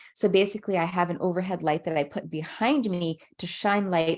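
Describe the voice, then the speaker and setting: Speech comes at a fairly quick pace while the pitch varies in an ordinary way. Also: woman. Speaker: ophthalmologist presenting a webinar. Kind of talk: webinar presentation. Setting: online webinar. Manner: fast; halting with fillers.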